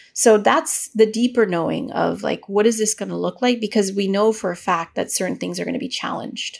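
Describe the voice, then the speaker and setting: Woman's fairly high voice with vocal fry, fairly quick pace and ordinary pitch variation. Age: 40s. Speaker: midwife and researcher. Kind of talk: interview.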